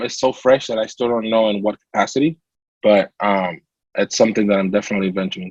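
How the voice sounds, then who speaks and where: With a Latin American accent, the speaker goes at a very fast pace, the sound dry and close with no echo. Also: man. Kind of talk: interview testimony.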